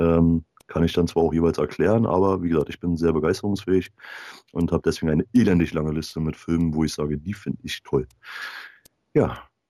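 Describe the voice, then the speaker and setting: Speaking at a very fast pace with long, frequent pauses, a man uses a very deep, low pitch and a dark, mellow tone, the sound dry and close with no echo. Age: 30s. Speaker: film enthusiast and podcast guest. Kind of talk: casual chat. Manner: animated.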